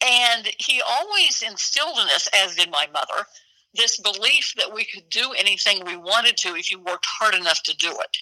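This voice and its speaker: In a dry, close sound with no echo, a woman uses a normal speaking voice, fairly high in pitch, with lively intonation at a moderate pace. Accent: American. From Oklahoma. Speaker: retired TV news anchor. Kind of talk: interview.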